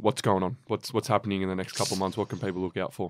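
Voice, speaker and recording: Dry and close with no echo, a man's fairly low voice races along at a very fast pace in an Australian accent. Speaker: podcast co-host. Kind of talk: interview.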